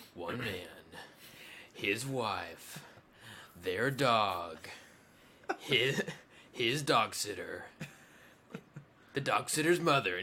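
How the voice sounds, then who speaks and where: Doing a put-on character voice, a man speaks at a very slow pace. He leaves long, frequent pauses. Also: medium pitch for a man. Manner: dramatic, listing.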